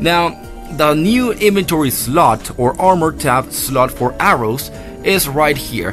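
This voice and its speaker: Music plays in the background as a man talks. His pitch is fairly high and his pace fairly slow. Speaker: game reviewer. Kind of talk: gameplay commentary.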